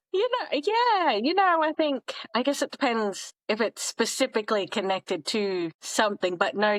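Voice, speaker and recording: With an Australian accent and lively intonation, a woman is heard in a dry, close sound with no echo over a quiet background. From Australia (Townsville, North Queensland), raised partly abroad. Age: 30s. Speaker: podcast guest, traveler in fashion. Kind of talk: casual interview chat.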